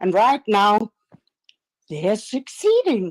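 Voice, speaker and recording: Speaking very slowly with a Danish accent, a woman at medium pitch makes very wide pitch swings in a dry, close sound with no echo. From Denmark. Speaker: live stream caller. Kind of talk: heated debate. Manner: halting.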